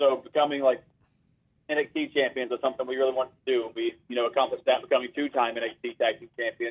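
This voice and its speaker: A man's very fast speech with a Southern US accent. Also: big swings in loudness. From US South, Asheville, western North Carolina. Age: 30s. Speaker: pro wrestler. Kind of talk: interview.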